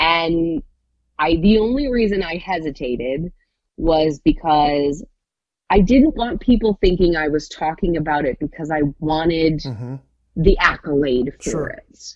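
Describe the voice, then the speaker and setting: This woman has a normal speaking voice, fairly low in pitch, moving at a fairly slow pace with big swings in loudness. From Michigan, Hudsonville. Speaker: radio morning show co-host. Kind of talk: casual interview.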